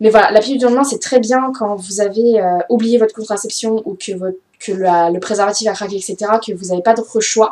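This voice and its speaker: Here a woman talks at a fairly quick pace. Her pitch is fairly high, with ordinary variation. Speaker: beauty vlogger. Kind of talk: casual vlog talk. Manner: fast; hesitant, many fillers.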